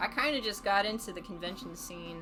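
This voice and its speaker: A woman speaks with music in the background. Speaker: streamer. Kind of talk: casual livestream talk.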